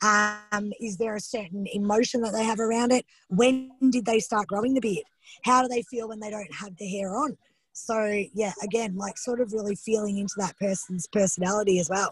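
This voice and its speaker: A woman with a fairly high pitch talks in a somewhat breathy voice. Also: fairly even intonation. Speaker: psychosomatics teacher. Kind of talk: teaching a study group. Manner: fast.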